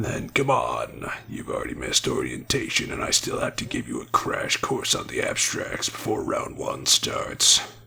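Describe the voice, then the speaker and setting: At a moderate pace, a man puts on a raspy, cartoonish character voice. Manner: calm, deadpan, unhurried.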